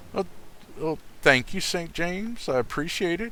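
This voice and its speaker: On a very clean recording with a silent background, a man with an American accent speaks slowly-ish, at a fairly slow pace, his tone bright and sharp. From US South. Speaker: video game streamer. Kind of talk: casual gaming chat.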